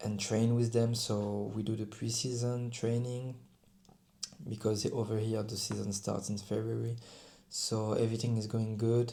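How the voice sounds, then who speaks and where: A man's dark, mellow voice in a French accent, flat and monotone, with audible room echo. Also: medium pitch for a man, moderate pace. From France. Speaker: rugby player. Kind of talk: personal vlog talk to camera. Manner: halting, with self-corrections.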